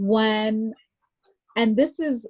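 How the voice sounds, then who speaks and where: A woman with an American accent sounds somewhat breathy, her pitch varying in an ordinary way. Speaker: artist. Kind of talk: interview conversation. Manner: casual, filler-heavy speech with many likes.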